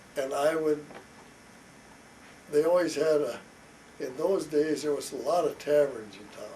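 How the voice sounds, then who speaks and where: Fairly even intonation at a fairly slow pace, with noticeable background noise. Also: man. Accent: Midwestern US. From rural Iowa, Carroll area. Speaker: father interviewed about his life. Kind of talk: family oral history interview. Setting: at home.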